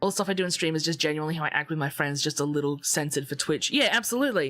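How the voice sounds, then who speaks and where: At a very fast pace, a woman with a very deep, low voice sounds animated, keeping very even loudness and ordinary pitch variation. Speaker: VTuber streamer. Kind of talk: casual chat. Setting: live stream.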